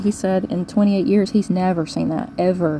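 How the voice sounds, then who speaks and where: Noticeable background noise is present. A woman speaks at a fairly quick pace. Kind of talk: casual vlog update. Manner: fast.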